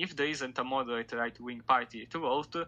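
With an Italian accent, a man talks at a moderate pace and medium pitch, with ordinary pitch variation. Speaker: political commentator. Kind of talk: casual chat. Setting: remote call.

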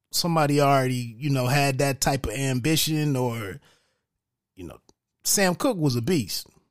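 A man's fairly high-pitched voice at a moderate pace, with ordinary pitch variation, big swings in loudness, and long, frequent pauses. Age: 40s. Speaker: podcast host, movie reviewer. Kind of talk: solo movie review monologue. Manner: casual, halting with frequent fillers.

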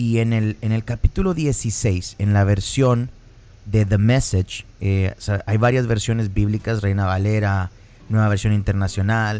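With a dark, mellow tone and fairly low pitch, a man speaks at a fairly slow pace with fairly even intonation. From northern Mexico (Piedras Negras, Coahuila). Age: 30s. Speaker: podcast host. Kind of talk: casual chat.

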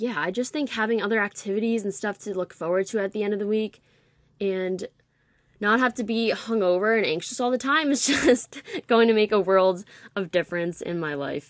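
A woman with an ordinary speaking voice at medium pitch, fairly quick in pace, with ordinary pitch variation. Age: 20s. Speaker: podcast host. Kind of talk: casual monologue.

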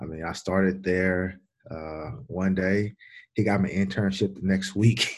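Flat, monotone intonation in a Louisiana accent. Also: man. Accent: Louisiana Southern US. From Louisiana, Baton Rouge. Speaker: strength and conditioning coach. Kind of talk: casual interview. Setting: on the road.

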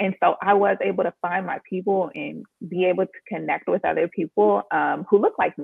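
A woman with an American accent talks at a moderate pace with hardly any pauses. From Maryland, just outside Washington D.C., US. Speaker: copywriter and online sales strategist. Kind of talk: casual interview chat.

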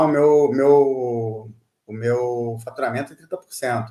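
A man is talking. His voice has a medium pitch. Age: 50s. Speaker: IT executive. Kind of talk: casual interview. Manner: halting, many fillers.

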